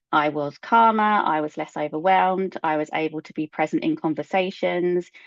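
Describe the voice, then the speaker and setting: Delivered at a moderate pace, a normal speaking voice keeps fairly even intonation. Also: woman. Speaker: ADHD coach and neurodiversity consultant. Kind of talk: presentation.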